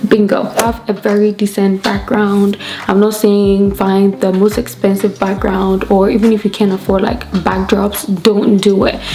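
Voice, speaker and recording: A woman's medium-pitched voice at a moderate pace, with very even loudness and monotone, flat intonation, over noticeable background noise. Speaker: beauty and photo editing vlogger. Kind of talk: tutorial. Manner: casual, chatty.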